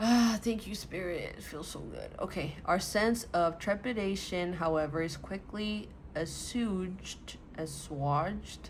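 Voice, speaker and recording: There is audible room echo as a woman speaks at a medium pitch with ordinary pitch variation. She goes fairly slowly with hardly any pauses, her loudness swinging widely. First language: not English. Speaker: tarot reader. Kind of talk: tarot reading, partly reading card text aloud. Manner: halting when reading.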